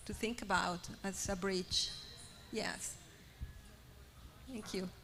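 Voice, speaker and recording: The speaker uses fairly even intonation at a moderate pace in a Spanish accent. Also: woman. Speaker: artist. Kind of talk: panel discussion. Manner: halting, many repetitions.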